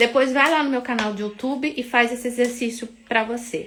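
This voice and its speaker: This woman's voice is high in pitch. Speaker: mentor. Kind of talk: guided meditation; live stream talk. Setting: live stream. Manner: slow.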